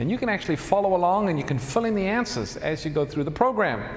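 Talking at a very fast pace, a man uses a high pitch and lively intonation. There is audible room echo. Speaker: host announcing program details. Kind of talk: live Bible study introduction. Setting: stage with audience. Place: church. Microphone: lapel.

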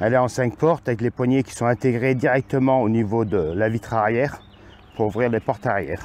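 At a moderate pace, a man speaks with ordinary pitch variation, the sound dry with no echo. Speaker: amateur car reviewer. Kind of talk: car review walkaround commentary. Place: street. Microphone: phone near.

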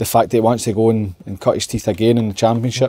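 With a Scottish accent, the speaker rushes along at a very fast pace in a dark, mellow tone. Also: man. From Scotland. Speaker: football pundit. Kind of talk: casual chat. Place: bar. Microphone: lapel.

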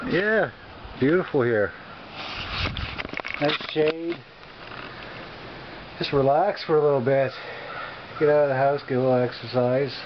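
Noticeable background noise is present throughout. The talking proceeds at a fairly slow pace. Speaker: vlogger. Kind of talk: casual vlog chat. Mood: relaxed, amused. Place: open country. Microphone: phone near.

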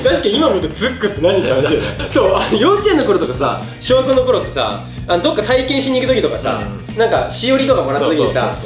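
A man speaks at a very fast pace over noticeable background noise. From Akita, Japan. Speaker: YouTuber. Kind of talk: casual conversation. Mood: cheerful, laughing. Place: home room.

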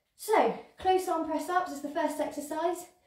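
Her voice carries a noticeable echo from the room. The woman's pitch rises and falls in a normal way. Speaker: fitness instructor. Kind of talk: exercise class instruction. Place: home room. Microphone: camera far.

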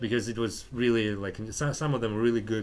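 A man talks with a Russian accent. His pitch is medium. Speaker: podcast host and comedian. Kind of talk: casual chat. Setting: anti cafe.

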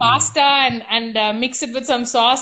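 This woman's voice is raised and projected, with a bright, sharp tone. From India, Coimbatore. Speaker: former professional tennis player. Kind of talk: interview answer. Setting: online video call. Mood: relaxed, animated. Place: home room. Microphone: video call.

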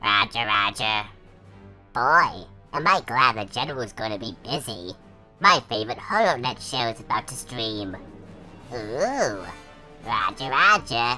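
Clear music plays behind a put-on character voice at a low-to-middle pitch. The speech has long, frequent pauses. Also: fairly slow pace. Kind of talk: comic dub.

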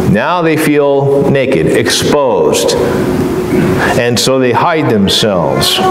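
Audible room echo and loud background noise surround a man's voice. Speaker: preacher. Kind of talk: sermon. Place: church.

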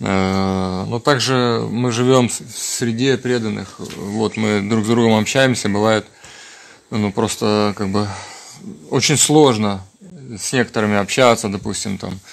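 Through noticeable background noise, a man with a fairly low pitch and fairly even intonation speaks at a very slow pace, leaving long, frequent pauses. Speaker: devotee asking questions.

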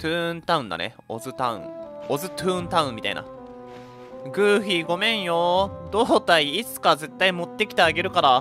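Music plays in the background while the voice moves at a fairly quick pace. Its pitch swings very widely and its loudness swings a lot. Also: man, high pitch for a man. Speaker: VTuber game streamer. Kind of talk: casual game commentary.

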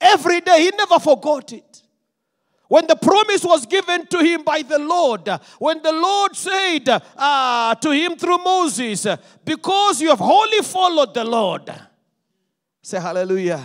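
A man's extremely high-pitched, animated voice with lively intonation, a fairly slow pace and long, frequent pauses over a quiet background. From Zimbabwe. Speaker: pastor. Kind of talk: sermon. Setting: church. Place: church. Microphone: handheld.

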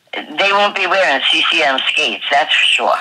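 With a New York accent, a woman speaks at a fairly slow pace. Her pitch varies in an ordinary way. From Long Island, New York. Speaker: skating coach. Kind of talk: interview.

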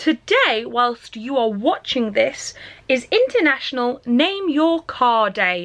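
A woman speaks very slowly in a raised, projected voice, her bright, sharp tone moving through very wide pitch swings. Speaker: vlogger. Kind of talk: casual vlog chat. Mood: warm, nostalgic, laughing. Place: home room. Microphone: phone near.

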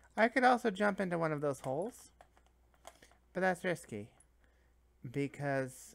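A woman talks at a fairly slow pace with long, frequent pauses. Her fairly low pitch swings very widely. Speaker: video game streamer. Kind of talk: let's play gameplay commentary. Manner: casual, chatty.

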